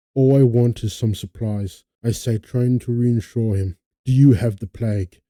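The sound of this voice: Behind this unforced reading voice, the background stays quiet.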